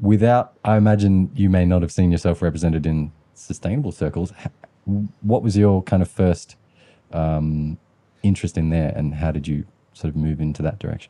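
A man with an Australian accent speaks at a fairly quick pace. His very deep, low voice has a dark, mellow tone and ordinary pitch variation. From Western Sydney, Australia. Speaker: podcast host. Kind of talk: interview.

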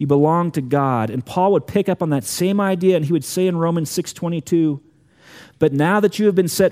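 A man with a high pitch and a dark, mellow tone talks at a fairly quick pace. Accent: American. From US Southwest (Tucson, Arizona). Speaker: pastor. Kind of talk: sermon.

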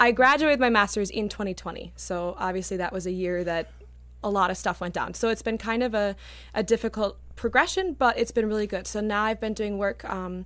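A woman with an unremarkable speaking voice talks fairly fast at a medium pitch, her pitch moving in a normal way. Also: very clean recording, silent background. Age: 20s. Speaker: opera singer. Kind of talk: casual chat. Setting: studio.

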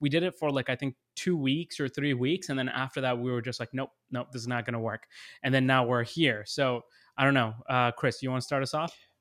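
Recorded very cleanly against a silent background, with a dry, close sound and no echo, a man with an unremarkable speaking voice talks at a fairly quick pace, at a medium pitch and with fairly even intonation. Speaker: content creator with finance background, podcast co-host. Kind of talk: casual chat.

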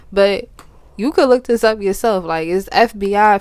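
Fairly slow speech from a woman with a medium pitch. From Philadelphia, US. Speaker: podcast co-host. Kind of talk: casual chat.

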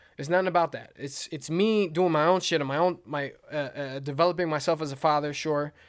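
Over a silent background on a very clean recording, a man with an unremarkable speaking voice talks at a moderate pace, his fairly high pitch carrying fairly even intonation. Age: 30s. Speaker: podcast host, father. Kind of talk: casual chat. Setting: recording without headphones.

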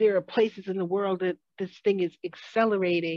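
With an ordinary speaking voice, this woman keeps a moderate pace, a medium pitch and ordinary pitch variation. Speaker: podcast co-host. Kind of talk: casual chat.

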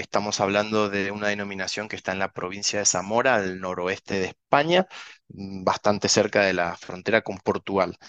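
In an Argentine accent, a man speaks with a fairly low pitch at a moderate pace. The sound is dry and close, with no echo. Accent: Argentine Spanish, similar to host's. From Argentina, Mendoza. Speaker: winery director. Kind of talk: interview.

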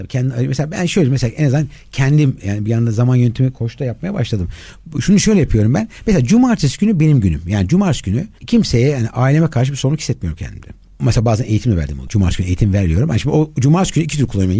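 Very fast and somewhat breathy, a man speaks at medium pitch in a dark, mellow tone, with very wide pitch swings. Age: 50s. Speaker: life and performance coach. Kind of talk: interview.

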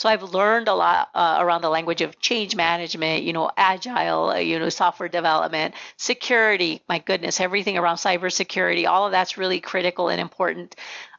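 Vocal fry runs through very fast speech in a Spanish accent. There are hardly any pauses. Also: woman, fairly low pitch for a woman, fairly even intonation. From Nogales, Arizona, US Southwest border. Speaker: pharmacy executive and association president. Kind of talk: interview, professional conversation.

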